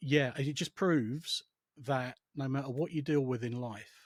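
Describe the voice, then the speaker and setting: In an English accent, a man speaks in a calm tone at a fairly slow pace and medium pitch, the sound dry and close with no echo. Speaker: psychotherapist and former RAF and police officer. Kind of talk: casual chat. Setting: podcast.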